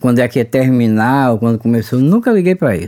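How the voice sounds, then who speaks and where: A man is heard with a dry, close sound with no echo. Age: 50s. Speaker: oral cancer survivor. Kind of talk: testimony. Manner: halting.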